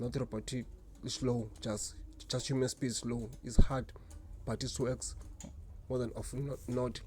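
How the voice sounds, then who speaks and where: Somewhat breathy, a man talks at a fairly slow pace in a dark, mellow tone at a medium pitch, with monotone, flat intonation and long, frequent pauses. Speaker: job seeker. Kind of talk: casual talk to camera. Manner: deliberately slow.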